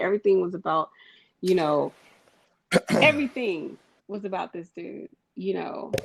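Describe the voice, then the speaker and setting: A woman at a moderate pace. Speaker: podcast co-host. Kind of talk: casual chat. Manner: loud.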